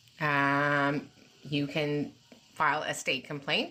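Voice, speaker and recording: A woman speaks with a Texan accent. Her pitch is very deep and low, her tone bright and sharp. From Texas. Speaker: special education advocate. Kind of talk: live Q&A. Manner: fast.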